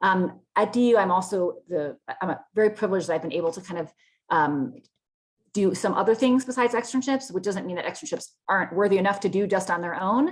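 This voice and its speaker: Her pace is very fast. The woman's intonation is lively throughout. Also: medium pitch for a woman. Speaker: law professor. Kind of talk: webinar presentation. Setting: video call.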